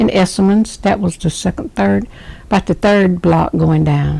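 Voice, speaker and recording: A woman speaks with a Southern US accent. Her pace is fairly slow. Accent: Southern US (Georgia). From US South, Rome, Georgia. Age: 60s. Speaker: interviewee, grandmother. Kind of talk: oral history interview.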